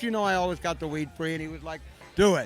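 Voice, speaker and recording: A man with an American accent at a very fast pace, with ordinary pitch variation and music in the background. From US West Coast, San Francisco. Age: 60s. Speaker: cannabis activist. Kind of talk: interview. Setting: convention floor with music.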